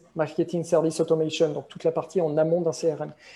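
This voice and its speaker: This man has a high pitch and a dark, mellow tone. He speaks at a moderate pace. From France. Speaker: business software consultant. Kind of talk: interview.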